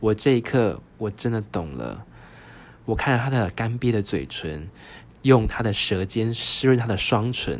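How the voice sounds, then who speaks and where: A man with a Taiwanese accent, medium-pitched and fairly slow. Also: ordinary pitch variation. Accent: Taiwanese Mandarin. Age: 30s. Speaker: podcast host. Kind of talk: solo storytelling podcast. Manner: animated.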